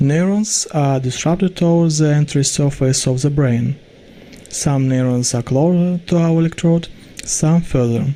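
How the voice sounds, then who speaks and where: With a Russian accent, a man talks at a moderate pace in a fairly high pitch, his pitch varying in an ordinary way. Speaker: student researcher. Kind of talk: pre-recorded research presentation. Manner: formal.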